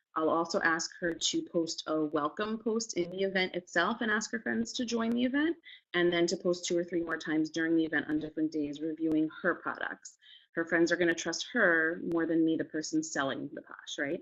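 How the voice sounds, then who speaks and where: Speaking at a fairly quick pace, a woman has a fairly low pitch. Her pitch varies in an ordinary way. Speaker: direct sales consultant. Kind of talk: training talk. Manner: fast; casual, filler-heavy.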